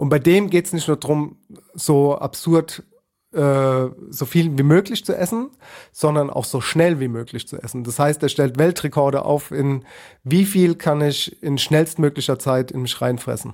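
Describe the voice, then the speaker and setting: With an ordinary speaking voice, a man talks at a fairly slow pace and fairly high pitch, his pitch varying in an ordinary way on a very clean recording with a silent background. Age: 30s. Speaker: podcast host. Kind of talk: casual chat.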